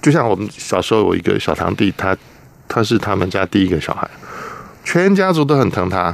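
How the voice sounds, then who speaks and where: Amid noticeable background noise, a man with a fairly low pitch talks at a fairly quick pace, with lively intonation and long, frequent pauses. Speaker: journalist, former air force maintenance technician. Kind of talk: radio interview.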